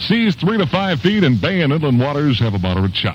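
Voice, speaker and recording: Noticeable background noise sits behind this man's voice. He talks at a fairly quick pace, at a medium pitch, with very wide pitch swings. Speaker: radio DJ. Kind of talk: oldies radio aircheck. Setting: AM radio broadcast.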